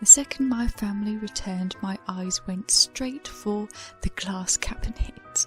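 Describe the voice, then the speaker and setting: With music in the background, a soft-spoken woman with a British accent talks at a fairly slow pace in a fairly high voice. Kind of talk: soft-spoken ASMR storytime.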